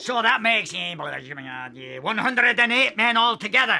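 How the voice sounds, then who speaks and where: A put-on character voice, raised and projected, with lively intonation. The pace is fairly slow. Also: man, high pitch for a man. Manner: curt, condescending.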